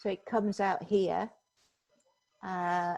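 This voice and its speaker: A woman's voice at medium pitch. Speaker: software trainer. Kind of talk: tutorial. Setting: video call.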